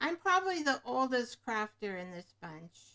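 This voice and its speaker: Her voice sitting high in pitch, a woman is talking. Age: 70s. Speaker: craft livestreamer, retired nurse. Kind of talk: live craft tutorial. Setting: livestream at craft desk. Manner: casual, thinking aloud.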